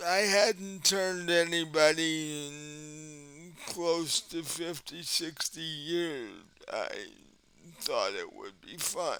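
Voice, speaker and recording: A man puts on a character voice at a high pitch. He talks at a very slow pace. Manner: casual, amused.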